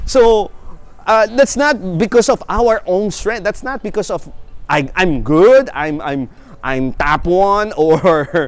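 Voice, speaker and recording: Over noticeable background noise, a man with a high pitch talks very slowly, his pitch swinging very widely. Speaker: preacher. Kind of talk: sermon. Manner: halting.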